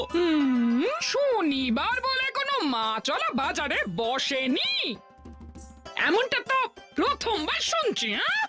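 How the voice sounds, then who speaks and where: A female-sounding cartoonish character voice, extremely high-pitched, swings very widely in pitch. She talks at a very slow pace with clear music in the background. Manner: nagging, skeptical.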